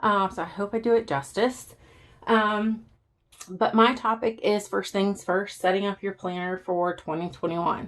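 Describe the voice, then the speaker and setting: A woman's medium-pitched voice in a Southern US accent, at a moderate pace with ordinary pitch variation. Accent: Southern American. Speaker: planner YouTuber. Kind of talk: casual talk to camera.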